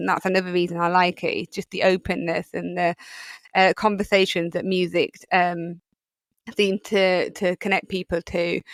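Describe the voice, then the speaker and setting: At a moderate pace, a woman with a Yorkshire accent speaks in a dry, close sound with no echo. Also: medium pitch for a woman. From Yorkshire, England. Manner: chatty, enthusiastic, with frequent fillers.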